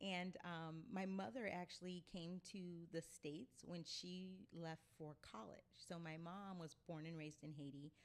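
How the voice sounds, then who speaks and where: A woman with an American accent and a fairly low pitch talks at a fairly slow pace with ordinary pitch variation and hardly any pauses. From Illinois, US. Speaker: travel advocate. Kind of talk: interview. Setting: livestream studio.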